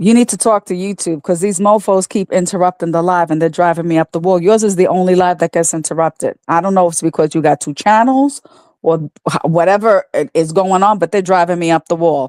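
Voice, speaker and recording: In a plain, everyday voice, a woman speaks at a fairly low pitch with ordinary pitch variation, the sound dry and close with no echo. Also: fairly quick pace. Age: 60s. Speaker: caller on a livestream. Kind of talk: casual chat.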